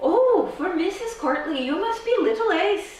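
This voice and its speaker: A woman's put-on character voice at an extremely high pitch and moderate pace, with a slight echo. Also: lively intonation. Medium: read story. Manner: warm, gentle.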